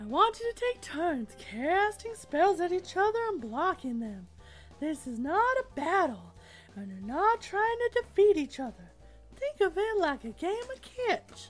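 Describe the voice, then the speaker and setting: A woman in a cheerful put-on character voice, extremely high-pitched with very wide pitch swings, at a moderate pace over clear music in the background. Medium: actual play. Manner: cheerful, instructive.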